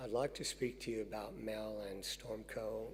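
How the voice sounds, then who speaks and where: A man is speaking. Audible room echo is present. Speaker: university chaplain. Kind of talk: eulogy. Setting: memorial service.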